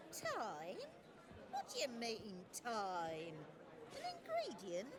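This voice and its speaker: Over loud background noise, a woman puts on a character voice in a medium pitch at a very slow pace. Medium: machinima. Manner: matter-of-fact.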